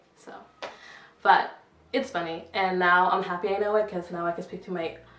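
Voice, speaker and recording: Over noticeable background noise and audible room echo, a woman talks at a moderate pace with fairly even intonation. Her pitch is medium, and her loudness swings widely. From Sweden, Congolese family. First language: French. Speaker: vlogger. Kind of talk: casual vlog talk. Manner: halting, many fillers.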